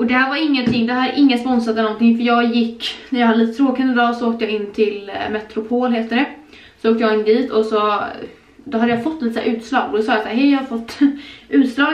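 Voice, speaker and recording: A woman talking very fast with fairly even intonation, some room echo audible. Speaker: vlogger. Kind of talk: casual vlog chat. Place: home room. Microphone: camera far.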